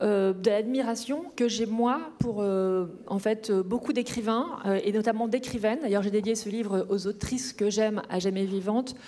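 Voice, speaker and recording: The speech runs on with hardly any pauses. Noticeable background noise is present. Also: woman, fairly high pitch for a woman, ordinary pitch variation, fairly slow pace. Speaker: novelist. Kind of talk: author talk at a panel Q&A. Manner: hesitant, many filler sounds.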